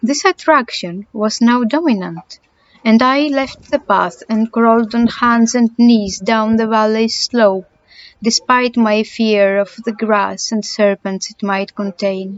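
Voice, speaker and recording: A woman with a Greek accent and a fairly high pitch, at a very slow pace. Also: ordinary pitch variation. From Greece. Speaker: amateur audiobook reader. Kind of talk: audiobook reading of a horror story.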